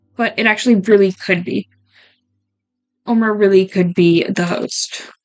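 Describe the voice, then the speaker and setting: With music in the background, a woman of medium pitch speaks at a moderate pace with fairly even intonation. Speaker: streamer playing a social deduction game. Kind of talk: casual gaming commentary, talking to self.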